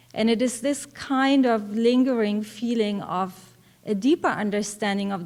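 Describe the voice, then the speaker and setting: Speaking at a fairly slow pace, a woman talks with a German accent. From East Germany, East Berlin. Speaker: professor. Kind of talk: conference talk.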